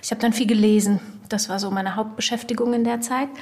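A woman's fairly high voice at a very fast pace, flat and monotone, with noticeable background noise. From Germany and Ivory Coast. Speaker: magazine editor. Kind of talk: interview.

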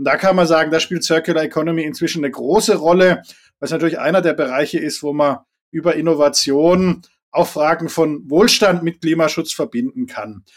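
A man with a fairly high pitch and a Swabian accent, ordinary pitch variation, on a very clean recording with a silent background. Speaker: environmental foundation executive, former politician. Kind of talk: interview.

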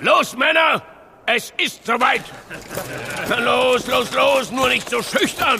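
A man uses a put-on character voice at an extremely high pitch, slow in pace. The tone is bright and sharp, with a slightly husky edge. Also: ordinary pitch variation.

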